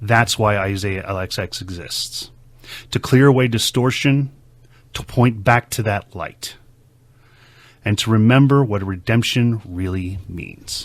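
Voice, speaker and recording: A fairly low-pitched man at a fairly slow pace, with long, frequent pauses, in a very clean recording over a silent background. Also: ordinary pitch variation. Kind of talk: casual talk to camera, teaching monologue. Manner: earnest, conversational.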